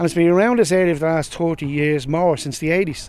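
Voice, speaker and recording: A man speaks with a Dublin accent and a dark, mellow tone. His pitch variation is ordinary. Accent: Dublin Irish. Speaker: community resident, former anti-drugs activist. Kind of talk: recorded interview.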